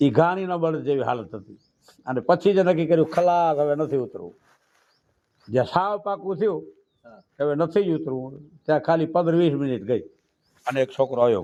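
Pitched fairly high, this man's voice has a dark, mellow tone. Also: ordinary pitch variation, big swings in loudness. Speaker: Charan poet and saint. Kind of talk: interview.

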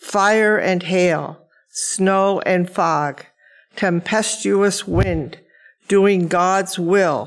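A woman at a very slow pace against a quiet background. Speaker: lay scripture reader. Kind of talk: scripture reading. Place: church. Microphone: podium.

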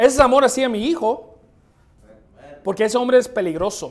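This man has an extremely high pitch. His pitch variation is ordinary. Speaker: preacher. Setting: church. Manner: forceful, emphatic, confrontational, pounding repetition, occasional halting restarts. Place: church. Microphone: podium.

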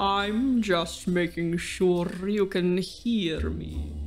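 A woman puts on a character voice at a medium pitch, speaking at a very slow pace. Clear music runs in the background.

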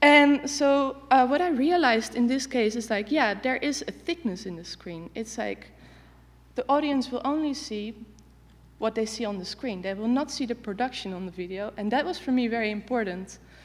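A woman speaks in a high pitch with lively intonation. Her pace is moderate. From Netherlands. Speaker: artist and researcher. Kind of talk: conference talk. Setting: stage with audience. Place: stage.

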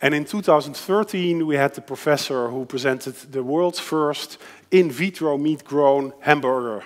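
A man with a Dutch accent, a fairly high pitch and ordinary pitch variation, at a fairly slow pace against a quiet background. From Netherlands. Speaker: designer and futurist lecturer; futurist lecturer. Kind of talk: lecture. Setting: stage with audience. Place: hall.

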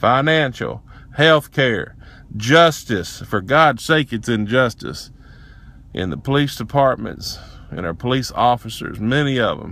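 A man with a strong Southern US accent, medium pitch and lively intonation at a fairly slow pace, in a dry sound with no echo. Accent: heavy Southern US. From Tennessee, USA. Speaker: racial justice activist. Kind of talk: casual talk to camera. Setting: inside a pickup truck. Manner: impassioned, profane rant. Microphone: phone near.

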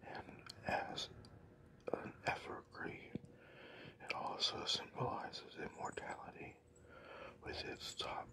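Whispering comes through over noticeable background noise. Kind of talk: ASMR whispered religious history talk. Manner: whispered.

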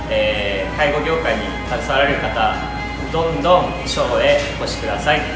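Clear music plays in the background with audible room echo. A man speaks at a moderate pace. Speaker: restaurant owner. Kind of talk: promotional announcement. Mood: polite, formal, slightly nervous. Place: cafe. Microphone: camera far.

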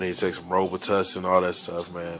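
Noticeable background noise sits behind a man whose very deep, low voice has a relaxed tone and monotone, flat intonation. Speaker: radio DJ and vlogger. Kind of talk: casual vlog. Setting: at home. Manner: relaxed, casual slang.

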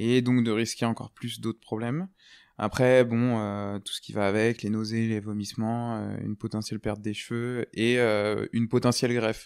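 In a dry, close sound with no echo, a man talks at a moderate pace, monotone and flat. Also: medium pitch for a man, very clean recording, silent background. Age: 20s. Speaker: cancer survivor, former volunteer firefighter. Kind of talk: testimony. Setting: sitting in a rocking chair. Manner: hesitant, many filler words.

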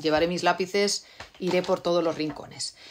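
A woman's fairly low voice with ordinary pitch variation against a quiet background. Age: middle-aged. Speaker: novelist; novelist talking with readers. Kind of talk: live stream Q&A with readers. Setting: live video stream from home. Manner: halting, many repeated words. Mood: warm, relaxed. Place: home room. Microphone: phone near.

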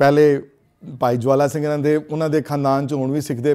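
Against a quiet background, a man's voice comes through dark and mellow in tone. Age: 60s. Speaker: religious teacher. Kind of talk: lecture. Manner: halting. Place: classroom.

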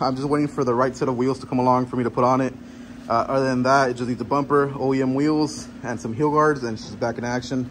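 A man talks at a very fast pace with fairly even intonation. Light background noise is present. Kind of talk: casual vlog tour. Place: garage. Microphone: phone near.

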